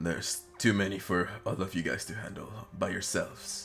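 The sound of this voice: Over clear background music, a man does a put-on character voice at a fairly low pitch and a moderate pace.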